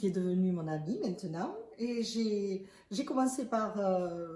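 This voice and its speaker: A woman is speaking. Her pace is very slow. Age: 60s. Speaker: retired biologist, business associate. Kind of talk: testimony interview.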